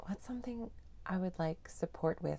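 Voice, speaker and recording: A woman speaks in a somewhat breathy, gentle voice with a dark, mellow tone and ordinary pitch variation. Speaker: meditation guide. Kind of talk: guided meditation. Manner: calm, slow, soothing; gentle, unhurried, with long pauses.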